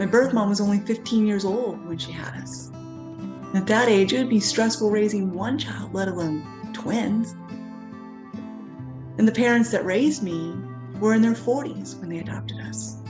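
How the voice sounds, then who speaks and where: Music plays in the background as a woman speaks at a moderate pace with long, frequent pauses. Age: 40s. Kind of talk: personal story talk to camera.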